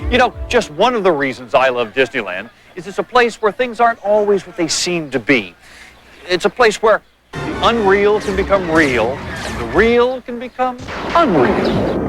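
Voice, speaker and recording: With music in the background, a man speaks at a moderate pace in a high pitch, his voice making very wide pitch swings and big swings in loudness. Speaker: TV host. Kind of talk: TV segment host presentation.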